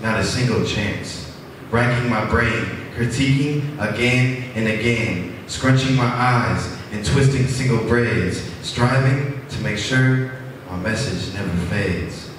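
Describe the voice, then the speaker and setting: A man speaks at a medium pitch over noticeable background noise. Strong room echo surrounds his voice. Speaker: open mic poet. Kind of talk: spoken word poetry. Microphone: pa.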